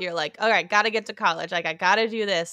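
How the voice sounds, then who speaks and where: In an American accent, a woman speaks at a fairly high pitch with a bright, sharp, animated tone, over a quiet background and with a dry, close sound that has no echo. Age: 20s. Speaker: podcast co-host, creative producer. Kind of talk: casual chat. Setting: home recording, parents' basement guest room. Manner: animated, frequent laughter.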